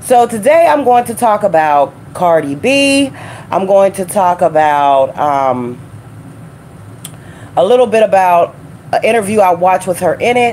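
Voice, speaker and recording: A loud woman's voice at medium pitch with very wide pitch swings, a fairly slow pace, long, frequent pauses and noticeable background noise. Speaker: truck driver and live-stream host. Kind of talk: casual live stream chat. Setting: home studio live stream.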